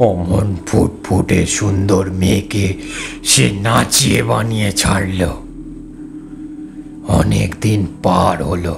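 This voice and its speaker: Clear music plays in the background behind a man's put-on character voice. He speaks very slowly with a very deep, low pitch. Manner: sorrowful, trembling.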